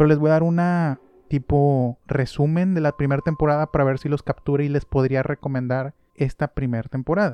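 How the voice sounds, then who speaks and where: Fairly quick, fairly high-pitched male speech with a dark, mellow tone, fairly even intonation and a dry, close sound free of echo. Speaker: podcast host. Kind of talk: casual monologue. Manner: calmer than usual, subdued.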